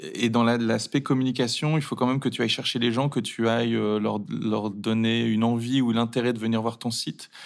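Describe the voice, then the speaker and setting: Monotone, flat intonation with hardly any pauses. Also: man, medium pitch for a man, moderate pace. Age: 30s. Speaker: e-commerce founder. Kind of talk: interview. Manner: hesitant, with fillers.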